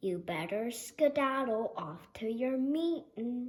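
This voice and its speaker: A loud, high put-on character voice from a woman at a fairly slow pace. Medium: read story. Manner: jolly, forceful.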